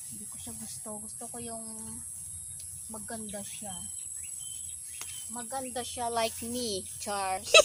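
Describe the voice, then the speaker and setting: A soft-spoken woman with a fairly high pitch and fairly even intonation talks at a fairly slow pace with long, frequent pauses, amid audible room echo and noticeable background noise. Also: big swings in loudness. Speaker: vlogger. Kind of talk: casual vlog narration. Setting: outdoors. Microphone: no microphone, camera mic.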